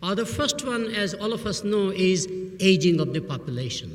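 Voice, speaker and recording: Speaking with an Indian accent, a man has a high pitch and ordinary pitch variation. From Burma, Indian family. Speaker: professor. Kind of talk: commencement speech.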